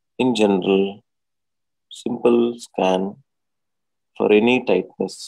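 The speech comes very slowly in a monotone, flat delivery with an Indian accent. The tone is dark and mellow. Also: man. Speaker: doctor and yoga teacher. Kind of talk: guided meditation. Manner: soothing, instructional.

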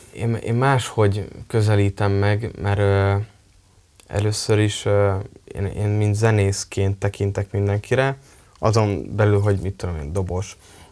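A man's fairly low, fairly slow voice with fairly even intonation. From Hungary, Tiszakécske near Kecskemét; Hungary. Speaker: drummer and multi-instrumentalist; interviewee. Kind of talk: interview. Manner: halting. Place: studio. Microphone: lapel.

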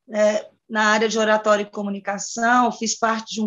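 Against a quiet background, a woman talks at a moderate pace with a fairly high pitch. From Brazil. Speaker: teacher and speaking instructor; teacher, speaking instructor. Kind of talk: workshop participant explaining her project. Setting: video call. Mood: slightly insecure, candid. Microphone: video call.

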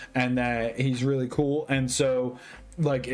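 A man talks with faint music in the background. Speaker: content creator. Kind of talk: casual vlog chat, story retelling. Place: home room. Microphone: webcam.

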